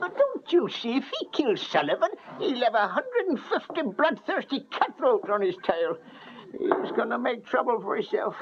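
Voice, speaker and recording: A put-on character voice drawls at a high pitch and a moderate pace. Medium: short film. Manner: folksy, ungrammatical drawl.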